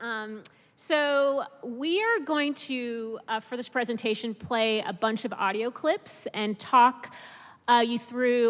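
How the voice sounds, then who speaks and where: A woman's high voice, varying in pitch in an ordinary way, comes through noticeable background noise. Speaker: public radio producer. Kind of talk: conference presentation talk.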